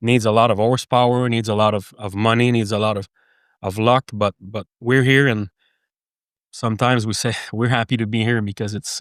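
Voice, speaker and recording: Long, frequent pauses break up a man's monotone, flat delivery in a French Canadian accent, captured dry and close with no echo on a very clean recording with a silent background. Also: medium pitch for a man, moderate pace. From Quebec, Canada. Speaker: horse business manager. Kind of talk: casual chat. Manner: halting.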